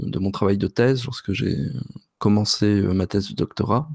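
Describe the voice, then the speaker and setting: A man speaks in an ordinary speaking voice at a fairly slow pace. His intonation stays fairly even. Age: 30s. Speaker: linguistics researcher and podcaster. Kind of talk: interview.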